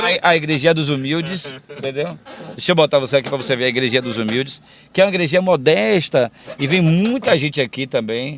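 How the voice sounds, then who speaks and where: Over noticeable background noise, a man speaks at a very fast pace in a fairly high pitch with lively intonation. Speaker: radio broadcaster and announcer. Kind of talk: interview answer, casual conversation while driving.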